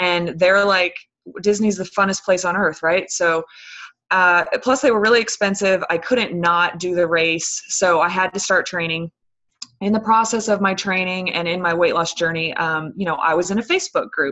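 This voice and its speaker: In an ordinary speaking voice, a woman talks at a moderate pace with medium pitch and fairly even intonation. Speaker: fitness coach. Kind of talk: team conference call talk. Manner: filler-heavy, um and you know.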